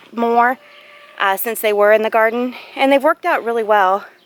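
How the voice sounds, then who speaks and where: A woman's fairly high voice with a Southern US accent, dry and close with no echo. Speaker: home gardener vlogger. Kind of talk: casual garden tour vlog. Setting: outdoors in yard.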